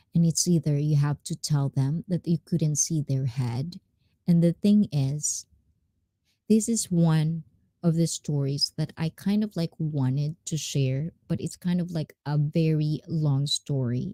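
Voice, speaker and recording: A woman speaks fairly slowly in a very deep, low voice that is somewhat breathy, with a dark, mellow tone and ordinary pitch variation. The recording is very clean and dry, close with no echo, over a silent background. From Japanese and Filipino mixed heritage. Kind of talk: casual live stream storytelling.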